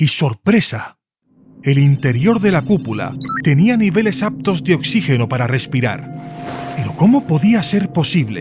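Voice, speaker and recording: A man's fairly high voice with very wide pitch swings at a fairly slow pace, music in the background. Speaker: voice actor. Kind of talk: audiobook narration.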